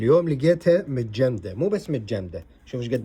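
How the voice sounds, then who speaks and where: A man speaks at a moderate pace in a dark, mellow tone that is somewhat breathy, his intonation lively. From Iraq. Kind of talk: casual vlog talk to camera. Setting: outdoors.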